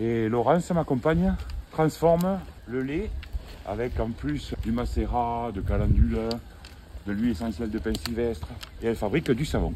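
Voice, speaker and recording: At a moderate pace, a man talks with long, frequent pauses. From Tarn, southern France. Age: 50s. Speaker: shepherd and livestock farmer. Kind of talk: casual interview while herding.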